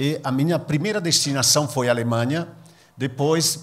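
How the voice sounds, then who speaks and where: A man is speaking. He has an Italian accent. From northern Italy, near Venice. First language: Italian (speaking Portuguese). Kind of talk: public talk. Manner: halting.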